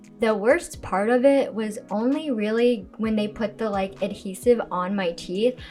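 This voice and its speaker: Amid noticeable background noise, a woman with a fairly high pitch talks at a fairly slow pace with lively intonation and hardly any pauses. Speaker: podcast co-host. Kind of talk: casual chat.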